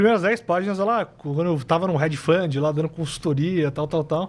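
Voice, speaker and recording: A man speaks in a fairly high voice with ordinary pitch variation. His delivery is somewhat breathy. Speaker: systematic fund manager. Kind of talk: casual podcast interview. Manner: fast.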